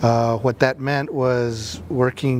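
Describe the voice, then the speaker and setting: Noticeable background noise sits behind a man speaking with an American accent. His pitch is medium and his intonation monotone and flat. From Los Angeles, US. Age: 30s. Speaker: community artist. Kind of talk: interview testimony. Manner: halting, many fillers.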